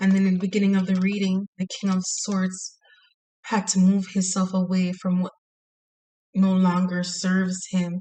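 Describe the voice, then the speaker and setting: At a moderate pace, a woman talks in a flat, monotone way. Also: medium pitch for a woman. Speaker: tarot reader. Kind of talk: tarot reading monologue. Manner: quiet, soft-spoken; hesitant with fillers.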